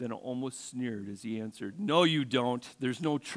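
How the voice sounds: The pitch shifts in an ordinary way as a natural reading voice moves through the text.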